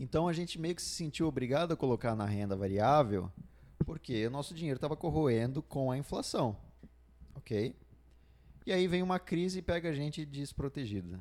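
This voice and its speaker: Lively intonation marks this man's fairly high voice. He keeps a moderate pace with long, frequent pauses. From Brazil, Santa Catarina. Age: 20s. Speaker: podcast co-host. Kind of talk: casual chat. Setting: studio. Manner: halting.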